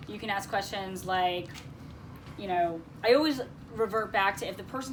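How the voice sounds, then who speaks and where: A medium-pitched woman's voice with audible room echo. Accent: American. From Connecticut, US. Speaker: career coach leading a job seekers group. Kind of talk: workshop discussion.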